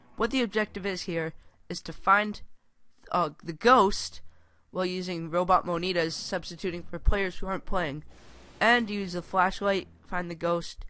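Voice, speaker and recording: Against a quiet background, a woman with a bright, sharp tone talks at a moderate pace, medium pitch and ordinary pitch variation. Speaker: video game reviewer. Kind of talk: video review. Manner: stuttering; casual, informal.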